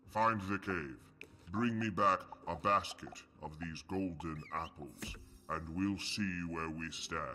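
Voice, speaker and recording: A very deep, low-pitched put-on character voice from a man, delivered fairly slowly. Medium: video game. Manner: grand, measured.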